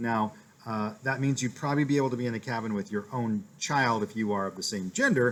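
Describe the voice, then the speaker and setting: Delivery runs at a fairly quick pace. The pitch shows ordinary variation. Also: man. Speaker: elementary school teacher. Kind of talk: class update video for parents. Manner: fast.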